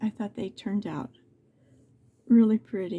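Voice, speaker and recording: A woman's somewhat breathy voice with a dark, mellow tone, a medium pitch and ordinary pitch variation. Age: 70s. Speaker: crafts video creator. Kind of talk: tutorial. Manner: halting.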